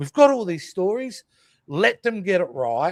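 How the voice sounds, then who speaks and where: A man with an Australian accent, dry and close with no echo, on a very clean recording over a silent background. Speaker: podcast host. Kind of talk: casual chat.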